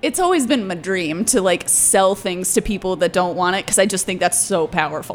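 Against noticeable background noise, a woman talks at medium pitch and a fairly quick pace, with hardly any pauses. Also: ordinary pitch variation. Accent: American. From Georgia, US South. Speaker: stand-up comedian. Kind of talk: casual chat.

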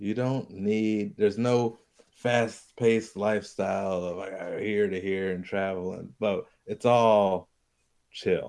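In a monotone, flat intonation, a man with a fairly low pitch speaks at a fairly slow pace. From Hawaii. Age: 30s. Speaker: comedian and musician. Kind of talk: casual chat.

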